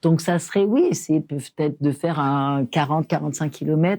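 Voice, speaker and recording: The tone is dark and mellow, delivered at a moderate pace on a very clean recording with a silent background. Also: woman. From France, rural small town. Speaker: entrepreneur. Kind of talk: interview conversation. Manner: animated, informal.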